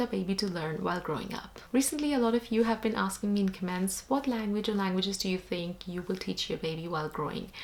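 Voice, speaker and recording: A woman talking at a fairly quick pace, ordinary pitch variation, noticeable background noise. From India (Jaipur, Rajasthan). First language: Hindi. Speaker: vlogger. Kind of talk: vlog talk to camera.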